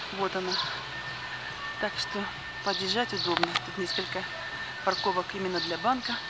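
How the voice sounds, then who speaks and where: Loud background noise fills a dry recording with no echo. The speech moves at a moderate pace, broken by long, frequent pauses. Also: woman. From Yalta, Crimea. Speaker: video blogger. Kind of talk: casual walking monologue. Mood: nostalgic, relaxed. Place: street. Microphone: phone near.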